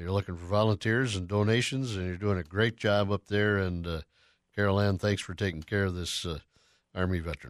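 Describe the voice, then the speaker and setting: On a very clean recording with a silent background, a man with an American accent speaks at a moderate pace in a very deep, low pitch with fairly even intonation. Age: 70s. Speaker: radio host. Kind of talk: interview.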